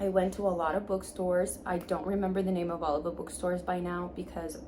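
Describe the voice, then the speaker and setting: Medium-pitched female voice with audible room echo and noticeable background noise. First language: Spanish. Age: 20s. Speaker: book vlogger. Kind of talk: casual vlog talk. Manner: informal, with filler words.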